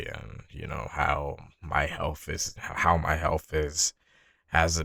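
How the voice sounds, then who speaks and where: A man's put-on character voice, raspy, very deep and low, monotone and flat, with big swings in loudness at a very slow pace, in a very clean recording with a silent background. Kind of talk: casual, ranting. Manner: stuttering.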